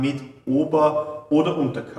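A man's voice carries an audible room echo. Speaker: fitness trainer. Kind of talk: tutorial. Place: gym.

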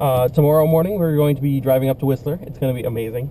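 A man's voice with fairly even intonation, dry sound with no echo, and light background noise. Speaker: vlogger. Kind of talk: casual vlog chat. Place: car. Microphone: camera far.

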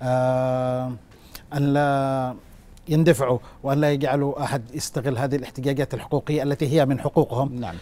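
A man speaks at a moderate pace with fairly even intonation. His tone is dark and mellow. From Yemen. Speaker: political commentator. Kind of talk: TV news panel interview. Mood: earnest, concerned. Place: studio. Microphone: lapel.

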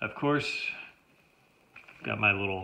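Light background noise is audible. Over it, a man talks. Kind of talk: gear overview tutorial. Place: home room. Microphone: phone near.

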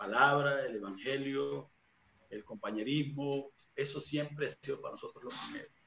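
Heard with audible room echo and light background noise, a man speaks at a moderate pace with big swings in loudness. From Venezuela, Barcelona (Anzoátegui); Venezuela. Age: 40s. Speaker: evangelist preacher; interviewee. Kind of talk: interview testimony. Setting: video call. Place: home room. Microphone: video call.

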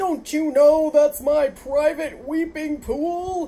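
A put-on character voice, high-pitched and very slow. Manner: angry, indignant.

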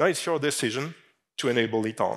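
A man speaks with a French accent over a quiet background. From France. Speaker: fintech industry executive. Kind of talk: conference keynote. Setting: stage with audience. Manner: halting. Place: stage. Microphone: headset.

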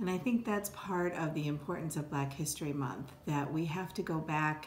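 A woman with an American accent speaks at a moderate pace, her pitch very deep and low with ordinary variation. Audible room echo and light background noise fill the recording. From upstate New York. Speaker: law professor and dean. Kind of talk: interview monologue. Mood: earnest, reflective. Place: office. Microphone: phone near.

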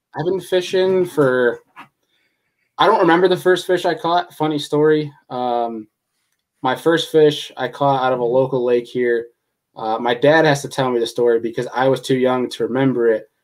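A man in a New York accent at a moderate pace, with ordinary pitch variation and a quiet background. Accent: New York state American English. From New York state. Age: 20s. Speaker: podcast host and angler. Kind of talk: casual chat. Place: home room. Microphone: webcam.

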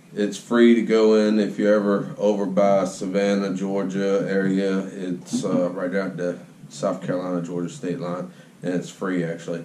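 A man's fairly low voice at a moderate pace, with fairly even intonation and audible room echo. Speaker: channel host. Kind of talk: casual vlog chat. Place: workshop. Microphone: phone near.

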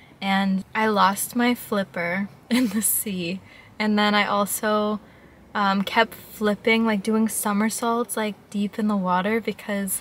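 Somewhat breathy and monotone, with flat intonation, a woman speaks at a very slow pace. The sound is dry with no echo. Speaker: vlogger. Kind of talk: casual vlog chat. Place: car. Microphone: phone near.

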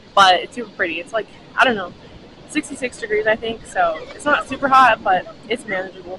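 A woman speaks at a fairly quick pace. The sound is dry with no echo, and background noise is noticeable. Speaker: vlogger. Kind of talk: casual vlog chat. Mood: cheerful. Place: beach. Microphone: phone near.

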